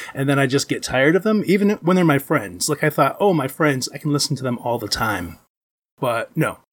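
In a very clean recording with a silent background, a man with a Midwestern American accent talks at a fairly quick pace, his fairly high pitch making very wide swings, with vocal fry. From Michigan. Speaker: convention booth volunteer, podcaster. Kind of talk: casual chat.

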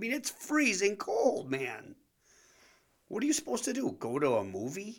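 The speaker has a Wisconsin accent and an animated tone with very wide pitch swings. The pace is moderate, broken by long, frequent pauses. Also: man, high pitch for a man. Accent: Upper Midwest (Wisconsin). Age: 40s. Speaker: podcast host, fitness entrepreneur, ex-car salesman. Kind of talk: casual comedic monologue.

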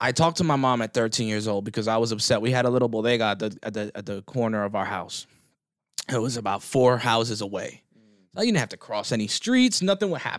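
On a very clean recording with a silent background, a man speaks very fast at medium pitch. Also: ordinary pitch variation. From North Jersey, US. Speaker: radio host, blind advocate. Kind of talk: casual chat. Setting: hotel room.

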